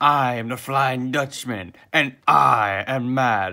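A man puts on a character voice at a medium pitch. He speaks at a very slow pace. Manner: angry.

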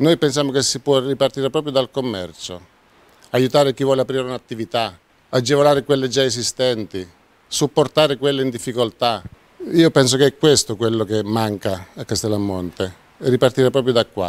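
This man has an unremarkable speaking voice at medium pitch. He speaks at a fairly quick pace with ordinary pitch variation. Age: 50s. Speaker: mayoral candidate, restaurateur; candidate. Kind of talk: campaign presentation. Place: hall. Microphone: handheld.

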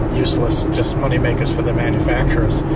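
Loud background noise fills the recording. Over it, a man speaks at a moderate pace. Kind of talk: casual vlog chat. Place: car. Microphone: camera far.

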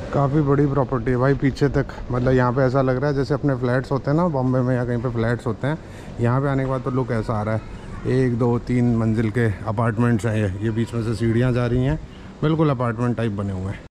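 Over light background noise, a man talks with fairly even intonation. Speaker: travel vlogger. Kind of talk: casual vlog chat. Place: street. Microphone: phone near.

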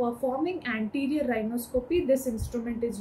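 A woman's high, dark, mellow voice at a fairly quick pace, with light background noise. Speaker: medical educator. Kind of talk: lecture. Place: home room.

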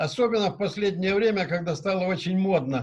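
Speaking with lively intonation and a high pitch, a man keeps a moderate pace over a quiet background. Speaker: car service business representative; conference presenter. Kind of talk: discussion remarks. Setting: video call. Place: office. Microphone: webcam.

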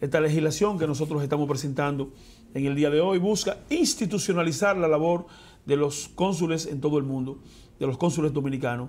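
Fairly quick male speech, fairly high in pitch, with ordinary pitch variation. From Dominican Republic, Elías Piña province; Dominican Republic. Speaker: senator. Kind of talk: interview. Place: studio. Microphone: lapel.

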